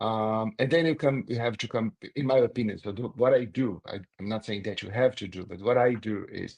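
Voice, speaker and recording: In a Brazilian accent, a man at medium pitch speaks at a moderate pace with ordinary pitch variation and big swings in loudness, the sound dry and close with no echo. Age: 60s. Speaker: corporate communications executive. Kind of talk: interview.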